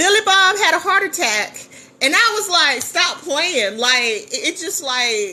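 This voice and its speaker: A woman's raised, projected voice, animated in tone, with very wide pitch swings. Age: 50s. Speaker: business coach and livestreamer. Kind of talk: casual livestream storytelling. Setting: live stream.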